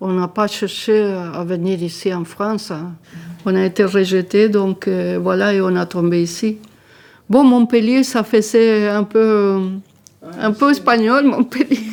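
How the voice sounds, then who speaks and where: A woman speaks at a very slow pace with a medium pitch. Her pitch variation is ordinary. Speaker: elderly resident. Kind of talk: testimony. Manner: halting.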